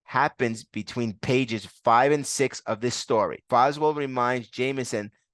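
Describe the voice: The speaker does plain reading aloud. Little else is heard behind the voice.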